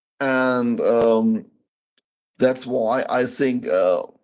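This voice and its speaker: This man speaks with a German accent. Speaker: channel host, interviewer. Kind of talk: interview. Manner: halting.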